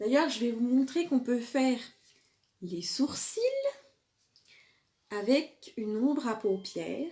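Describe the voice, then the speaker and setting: Pitched high, a woman talks with lively intonation in a strong Franche-Comté accent. She speaks at a very slow pace with long, frequent pauses. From eastern France, Franche-Comté. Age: 40s. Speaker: makeup seller and live streamer. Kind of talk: live makeup tutorial with sales talk. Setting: live video stream. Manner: hesitant, many filler sounds.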